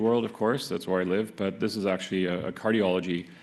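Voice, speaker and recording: This man's intonation stays fairly even while noticeable background noise continues behind him. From not Canada. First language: not English. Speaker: medical oncologist. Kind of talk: conference talk. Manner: halting, many fillers.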